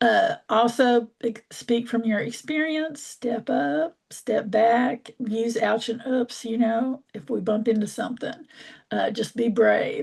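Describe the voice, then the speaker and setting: Her pitch is fairly high, with ordinary variation and some vocal fry. The woman speaks at a very slow pace. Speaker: community organizer. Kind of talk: online workshop presentation.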